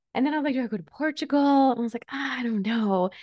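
A woman speaks with a fairly high pitch in a warm, animated tone. The sound is dry and close, with no echo. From Switzerland. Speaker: life coach and podcast host. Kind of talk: casual solo chat, personal update. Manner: warm, animated, chatty.

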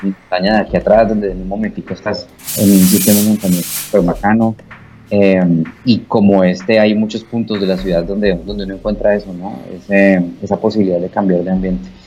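A man's fairly low, fairly even voice at a fairly quick pace, with music in the background. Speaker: radio host and station director. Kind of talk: casual interview chat. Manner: fluent.

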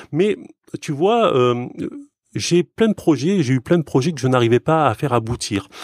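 A man talks at a moderate pace in a normal speaking voice with lively intonation, the sound dry and close with no echo on a very clean recording with a silent background. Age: 40s. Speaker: software developer. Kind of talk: casual chat.

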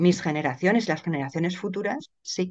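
Over a quiet background, a woman talks at a fairly quick pace. Her pitch is medium. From Spain, Madrid. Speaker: lawyer and writer. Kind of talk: interview conversation.

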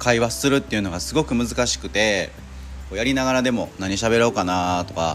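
A man speaks fairly quickly in a fairly low voice with very wide pitch swings. Noticeable background noise runs behind him. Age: 40s. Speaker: car detailing shop owner, podcaster. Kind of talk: casual monologue. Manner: halting, many fillers.

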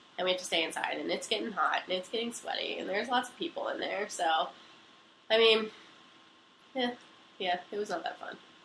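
With an American accent and a fairly high pitch, a woman uses lively intonation at a fairly quick pace, broken by long, frequent pauses, over noticeable background noise. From Pennsylvania. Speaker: college student telling a personal story. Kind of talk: casual storytelling. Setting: recording on a couch at home. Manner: fast, run-on.

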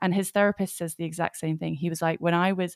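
In an English accent, a woman speaks at a fairly low pitch with fairly even intonation, recorded dry and close with no echo. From England. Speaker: podcast host, spiritual coach and author. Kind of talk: interview conversation. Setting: video call.

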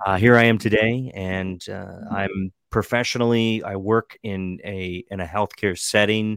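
With an American accent and a plain, everyday voice, a man talks at a fairly low pitch and a fairly slow pace, with fairly even intonation and hardly any pauses. His loudness swings widely, and the sound is dry and close, with no echo. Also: very clean recording, silent background. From Western Maryland. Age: 30s. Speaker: political blogger and podcaster. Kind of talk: casual chat.

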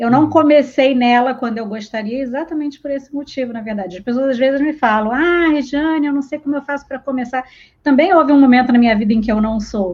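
This woman talks at a very fast pace with hardly any pauses. Her high pitch shows ordinary variation, and she has a strong Rio de Janeiro accent. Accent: strong carioca. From Rio de Janeiro, Brazil. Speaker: literary translator. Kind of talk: casual interview.

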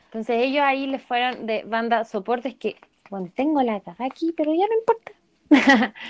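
A woman with a Chilean accent talks at a moderate pace in a high voice with ordinary pitch variation. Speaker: singer. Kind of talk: casual chat.

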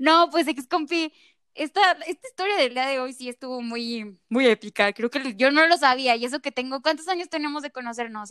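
Speaking fairly slowly with a Mexican accent, a woman uses a high pitch and lively intonation. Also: dry, close sound with no echo. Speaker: podcast host. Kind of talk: casual chat. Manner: animated.

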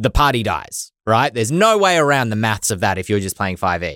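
Very wide pitch swings mark this voice with an Australian accent, heard in a very clean recording with a silent background and a dry, close sound with no echo. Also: man. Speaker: podcast host. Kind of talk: casual chat.

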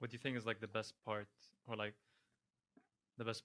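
Bright and sharp in tone, a man's fairly low voice stays monotone and flat, recorded dry and close with no echo. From Lebanon. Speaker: podcast co-host. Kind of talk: casual chat. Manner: joking, sarcastic.

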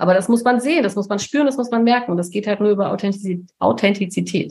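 Speaking at a moderate pace, this woman has an ordinary speaking voice with ordinary pitch variation. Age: 50s. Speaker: communication and charisma coach. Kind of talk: casual chat.

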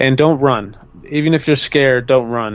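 A man with an ordinary speaking voice talks at a moderate pace, medium in pitch and fairly even in intonation. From Minnesota, US. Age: 20s. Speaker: TV paranormal show host and filmmaker. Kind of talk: podcast interview.

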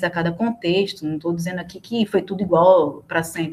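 A woman races along very fast, her mid-range pitch held in fairly even intonation. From Recife, Northeast Brazil. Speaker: historian, researcher. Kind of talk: casual interview chat.

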